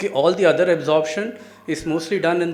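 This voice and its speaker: With an Indian accent, a man talks at a moderate pace with ordinary pitch variation, amid noticeable background noise and audible room echo. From India, Delhi. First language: Hindi. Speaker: cancer researcher. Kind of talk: lecture.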